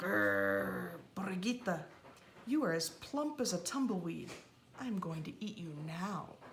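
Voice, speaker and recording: A put-on character voice growls at a moderate pace and middle pitch. Its pitch swings very widely over clear background noise. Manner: growling, threatening.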